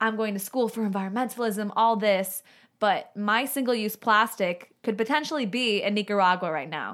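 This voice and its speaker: A normal speaking voice from a woman with an American accent, fairly high in pitch with ordinary pitch variation, at a moderate pace in a very clean recording with a silent background. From Chicago. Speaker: sustainability advocate. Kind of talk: casual chat. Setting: studio.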